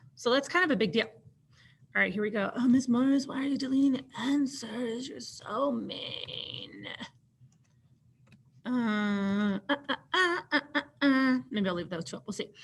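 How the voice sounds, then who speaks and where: Against noticeable background noise, a high-pitched woman uses lively intonation at a fairly slow pace. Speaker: teacher. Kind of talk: tutorial. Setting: screen-share recorded lesson. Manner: animated.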